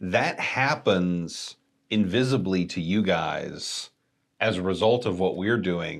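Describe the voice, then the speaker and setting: Very slow speech from a man with a very deep, low pitch, ordinary pitch variation and a Texan accent, on a very clean recording with a silent background. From Texas. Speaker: digital marketing agency staff. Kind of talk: casual chat.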